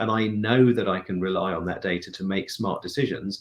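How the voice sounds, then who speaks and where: A man with a British accent speaks with a fairly even intonation. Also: very clean recording, silent background. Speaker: chief technology and product officer. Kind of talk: interview answer.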